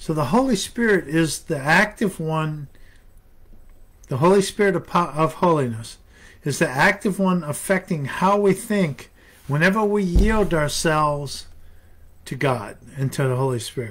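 With lively intonation and a fairly bright tone, a man speaks fairly high for a man at a fairly slow pace.

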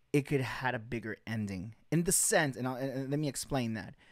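The speech has lively intonation, with a dry sound with no echo and a quiet background. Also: man. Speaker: podcast host. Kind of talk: podcast commentary. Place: home room. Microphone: studio mic.

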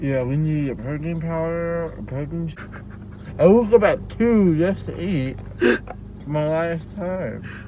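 A man's speech at a very slow pace, with long, frequent pauses and big swings in loudness, over light background noise in a dry sound with no echo. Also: ordinary pitch variation. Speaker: vlogger. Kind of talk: casual vlog chat. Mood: playful, laughing. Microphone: phone near.

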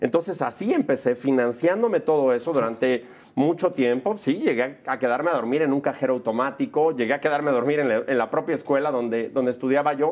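A man's animated, fairly quick delivery with hardly any pauses, fairly high pitch and ordinary pitch variation. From Mexico City. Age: 40s. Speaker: film director and producer; interview guest. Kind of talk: casual interview. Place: studio. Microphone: lapel.

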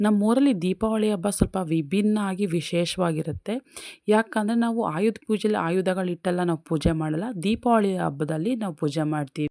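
Her tone dark and mellow, a woman speaks at medium pitch with ordinary pitch variation, in a dry, close sound with no echo and a very clean recording over a silent background. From India, Karnataka. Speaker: vlogger. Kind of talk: casual vlog narration.

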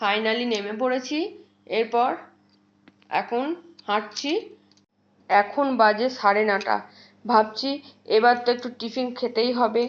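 Cheerful in tone, a woman with a fairly high pitch speaks with fairly even intonation. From West Bengal, India (Bardhaman). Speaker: vlogger. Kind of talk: travel vlog narration. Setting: outdoors, train station and train. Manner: cheerful, chatty.

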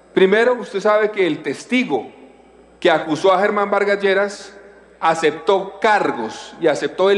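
This man speaks fairly slowly. The rise and fall of his pitch is typical. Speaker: senator. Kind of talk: parliamentary debate speech. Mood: combative, rebutting accusations. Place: hall. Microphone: podium.

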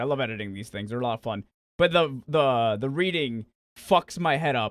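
The speech runs at a very fast pace, with a dry sound and no echo. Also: man. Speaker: content creator, fan voice actor. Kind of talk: casual vlog chat. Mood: earnest, slightly weary. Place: home room.

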